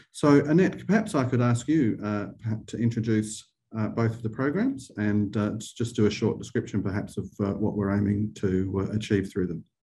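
Over a quiet background, a man with an Australian accent speaks at a moderate pace, his fairly low, somewhat breathy voice dark and mellow with ordinary pitch variation. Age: 50s. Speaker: arts funding director and webinar host; webinar host. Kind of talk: webinar Q&A. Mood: friendly, welcoming. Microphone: video call.

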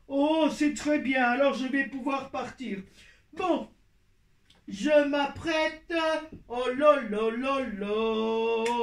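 A cartoonish character voice speaks at a very slow pace, broken by long, frequent pauses. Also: man, extremely high pitch for a man. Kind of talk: children's puppet show. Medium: puppet.

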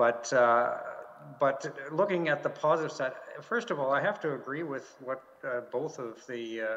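A man speaks with a fairly high pitch. His pace is moderate, with ordinary pitch variation. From Canada. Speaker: diplomat; panelist. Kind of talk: panel discussion. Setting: video call from home. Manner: halting, many fillers and repeats. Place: office. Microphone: video call.

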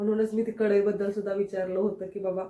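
Medium-pitched woman's voice, monotone and flat in intonation. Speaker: family vlogger. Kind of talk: casual vlog with cooking.

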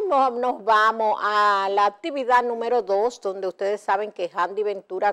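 A woman's fairly high voice at a moderate pace over a quiet background. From Dominican Republic. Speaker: TV show host. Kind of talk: TV entertainment news. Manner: animated. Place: studio. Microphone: lapel.

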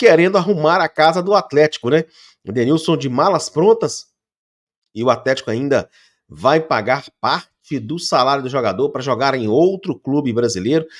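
Over a quiet background, a man speaks at a moderate pace. His intonation is lively. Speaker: sports channel host. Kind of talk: football news commentary. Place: home room. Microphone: studio mic.

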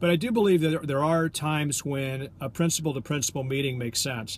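Somewhat breathy, a man talks at a fairly quick pace with ordinary pitch variation, a dry sound with no echo, and light background noise. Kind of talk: business tips vlog. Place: car. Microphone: phone near.

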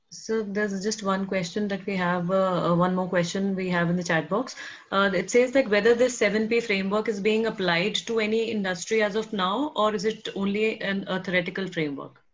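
A woman in a plain, everyday voice speaks at a medium pitch and a fairly quick pace, with fairly even intonation and hardly any pauses. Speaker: webinar moderator. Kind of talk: webinar Q&A moderation. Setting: video call. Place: office. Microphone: earbuds.

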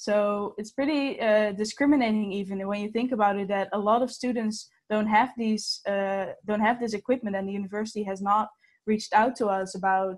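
In a plain, everyday voice, a woman talks at a fairly quick pace with a fairly high pitch and fairly even intonation. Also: quiet background. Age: 19. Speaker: student petition organiser. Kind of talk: webinar presentation. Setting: video call. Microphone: webcam.

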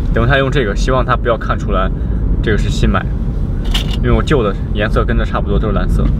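A man at a very fast pace, dry sound with no echo, over loud background noise. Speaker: vlogger. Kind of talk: casual vlog chat. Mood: slightly hurried. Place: car. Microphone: camera far.

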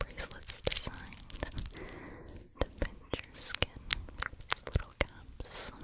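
A woman whispers in a breathy voice at a very slow pace. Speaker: ASMR creator. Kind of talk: soft casual ASMR chat. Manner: close breathy whisper. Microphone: studio mic.

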